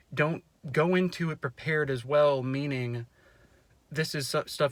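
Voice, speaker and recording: A man with a fairly high pitch talks at a moderate pace. His intonation stays fairly even. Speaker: mental health vlogger. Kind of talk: casual advice vlog. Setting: in a car. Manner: loud; halting, many fillers and restarts.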